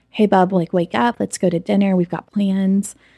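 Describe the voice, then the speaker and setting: A woman's dark, mellow voice at medium pitch, fairly quick and fairly even in intonation, with a dry, close sound, no echo, and a very clean recording with a silent background. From Oklahoma, US. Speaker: church creative director. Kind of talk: testimony. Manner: casual, frequent fillers.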